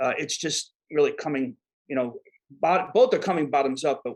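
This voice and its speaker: A man with a New York accent speaks at a fairly quick pace and a fairly high pitch. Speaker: disaster management expert. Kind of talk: podcast interview. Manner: halting, many repeated words.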